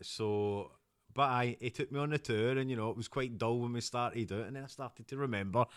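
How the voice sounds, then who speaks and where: Speaking fairly quickly in a Scottish accent, a man uses a medium pitch with ordinary variation on a very clean recording with a silent background. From Scotland, North Ayrshire (Kilwinning). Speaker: podcast guest, actor and business owner. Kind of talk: interview, personal story. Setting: at his home.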